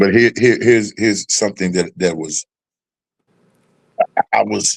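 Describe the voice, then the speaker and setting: Speaking at a moderate pace, a man with a fairly low pitch and vocal fry shows ordinary pitch variation in a dry, close sound with no echo. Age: 60s. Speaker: live show host. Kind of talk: casual chat. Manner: halting, repeats words.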